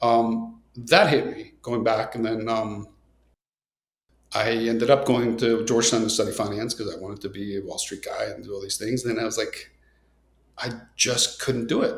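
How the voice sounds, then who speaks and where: Somewhat breathy delivery at a moderate pace, with big swings in loudness and monotone, flat intonation. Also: man, medium pitch for a man. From Nicaragua. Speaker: coffee entrepreneur. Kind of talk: podcast interview. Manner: casual, many fillers.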